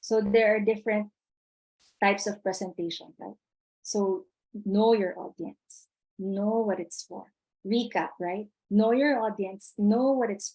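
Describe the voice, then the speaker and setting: A woman's dark, mellow voice moves at a fairly slow pace with long, frequent pauses. Her intonation stays fairly even while her loudness swings widely. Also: medium pitch for a woman. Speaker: webinar presenter. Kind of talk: webinar lecture.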